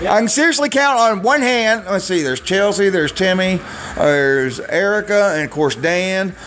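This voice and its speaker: A man with an American accent, high-pitched, with very wide pitch swings at a moderate pace, over noticeable background noise. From Michigan. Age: 40s. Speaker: podcast host. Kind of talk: casual solo monologue.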